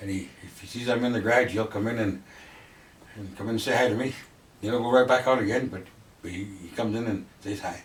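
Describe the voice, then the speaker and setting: A man's medium-pitched voice, very fast yet with long, frequent pauses and fairly even intonation, amid noticeable background noise and audible room echo. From western Canada (Fernie, BC), Italian-born. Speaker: longtime local resident. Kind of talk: interview.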